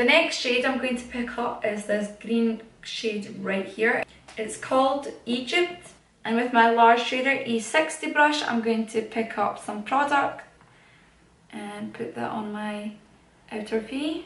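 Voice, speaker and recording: A woman at a fairly slow pace, with audible room echo around her. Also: fairly high pitch for a woman, ordinary pitch variation. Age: young. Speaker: makeup YouTuber. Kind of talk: chatty makeup tutorial talk to camera.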